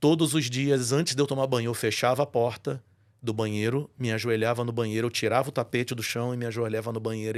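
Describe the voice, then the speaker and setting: Recorded very cleanly against a silent background, a man with a normal speaking voice speaks at a medium pitch with ordinary pitch variation. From Brazil, Rio de Janeiro. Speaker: voice-over announcer and church musician. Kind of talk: testimony in podcast interview.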